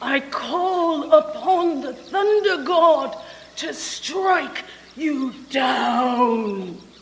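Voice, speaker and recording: In a put-on character voice, the speaker talks at a very slow pace with a high pitch and clear echo. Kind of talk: 1940s radio melodrama acting. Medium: stage play. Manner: imperious, theatrical.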